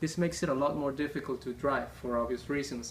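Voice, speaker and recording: A man speaks with a non-native accent and a fairly high pitch. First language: not English. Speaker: gaming YouTuber. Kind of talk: gameplay tutorial.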